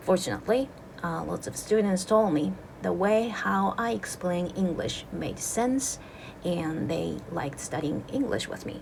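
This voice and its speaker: Audible room echo and noticeable background noise fill the recording. A woman talks at a fairly slow pace. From Japan. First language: Japanese. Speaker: English teacher. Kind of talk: casual video introduction. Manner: casual, relaxed.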